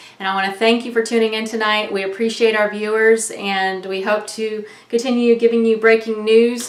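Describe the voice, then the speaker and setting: A woman talks at a fairly quick pace with hardly any pauses, in a monotone, flat intonation. Her voice is fairly high, with noticeable background noise. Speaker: online news vlogger. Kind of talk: casual monologue.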